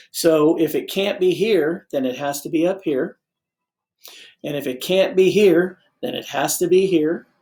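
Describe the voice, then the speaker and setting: On a very clean recording with a silent background, a man speaks in a high pitch with a dark, mellow tone. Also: ordinary pitch variation, fairly slow pace. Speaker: math teacher. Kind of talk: lecture.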